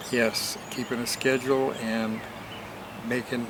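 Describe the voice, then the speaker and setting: A man with an American accent speaks at a moderate pace in a medium pitch, his intonation flat and monotone, with audible room echo and noticeable background noise. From Portland, Oregon, US. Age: 80s+. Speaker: interview guest, host's father. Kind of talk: interview.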